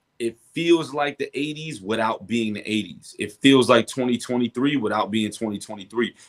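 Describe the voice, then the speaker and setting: A man with a New York accent at medium pitch, with a moderate pace, ordinary pitch variation and hardly any pauses. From Brooklyn, New York. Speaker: rapper. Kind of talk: interview.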